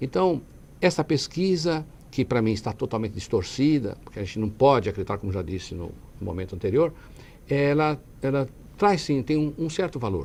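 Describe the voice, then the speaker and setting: At a fairly quick pace, a man speaks with a medium pitch and very wide pitch swings. He leaves long, frequent pauses. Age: 60s. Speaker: city councillor and lawyer. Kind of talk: TV interview. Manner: halting.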